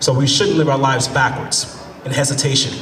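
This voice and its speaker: Against noticeable background noise, a man talks at a fairly high pitch. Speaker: motivational speaker and spoken word performer. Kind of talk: spoken word poetry performance to a live audience. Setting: live event, on stage.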